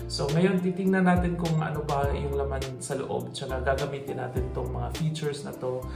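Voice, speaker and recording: With clear music playing behind him, a man talks at a moderate pace. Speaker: vlogger. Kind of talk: casual unboxing vlog chat. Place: home room. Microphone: phone near.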